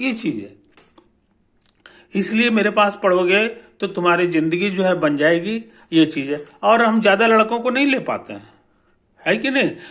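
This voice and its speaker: Long, frequent pauses break up a man's speech. His pitch is high, with ordinary pitch variation. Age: 70s. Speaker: physics teacher and author. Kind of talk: promotional talk to students. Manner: casual, repetitive filler (है कि नहीं); hesitant, with fillers and restarts.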